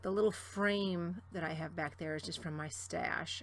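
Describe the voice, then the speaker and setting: Vocal fry colors a woman's very deep, low voice as it moves through very wide pitch swings. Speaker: scrapbooking vlogger. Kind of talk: crafting tutorial. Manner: casual.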